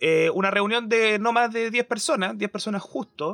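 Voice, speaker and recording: Dry and close with no echo, this raised, projected voice carries a bright, sharp tone. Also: man. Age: young. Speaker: podcast co-host. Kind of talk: panel discussion. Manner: halting.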